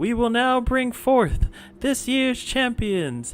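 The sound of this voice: Over clear music in the background, a man puts on a character voice at an extremely high pitch and speaks at a very slow pace.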